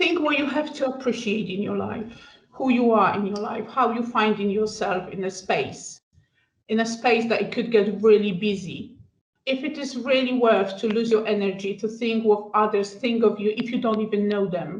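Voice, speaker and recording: A woman with a Polish accent speaks at a moderate pace in a fairly high, somewhat breathy voice with ordinary pitch variation. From Poland. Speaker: student wellbeing adviser. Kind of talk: panel discussion. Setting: podcast recording.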